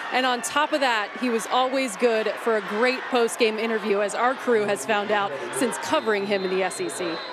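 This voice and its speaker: Amid noticeable background noise, a woman speaks at a moderate pace with hardly any pauses. Her pitch is fairly high with ordinary variation, and the sound is dry with no echo. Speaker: sideline reporter. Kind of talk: sideline reporting, interviewing. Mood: somber, respectful tribute. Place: stadium. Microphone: handheld.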